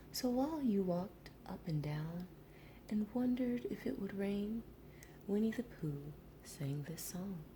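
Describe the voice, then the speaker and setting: Noticeable background noise is present. The talking goes at a fairly slow pace. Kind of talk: storybook narration read aloud. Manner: whispered, soft.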